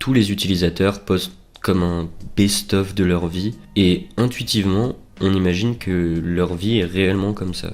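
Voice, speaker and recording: Very deep, low pitch from a man, paired with fairly even intonation. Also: fairly slow pace. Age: 20s. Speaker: student vlogger. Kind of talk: personal reflective monologue. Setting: home recording with headset mic. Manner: hesitant, many fillers.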